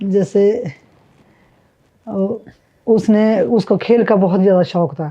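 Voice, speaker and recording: A woman speaks at a medium pitch with a dark, mellow tone and ordinary pitch variation, leaving long, frequent pauses. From Himachal Pradesh. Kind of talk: interview answer.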